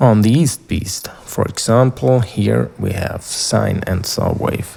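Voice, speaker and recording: With a non-native accent and a fairly low pitch, a man speaks very slowly with lively intonation over noticeable background noise. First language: not English. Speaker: synthesizer YouTuber. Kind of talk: tutorial. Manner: halting.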